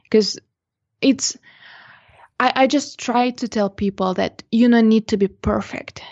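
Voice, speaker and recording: A woman with a slight non-native accent talks at a moderate pace with fairly even intonation. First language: not English. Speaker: portrait photographer and podcaster. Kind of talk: interview.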